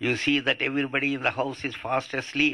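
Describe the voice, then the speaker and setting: A bright, sharp tone comes through at a moderate speed. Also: man. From India, Andhra Pradesh. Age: 80s+. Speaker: atheist activist speaker. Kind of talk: public talk.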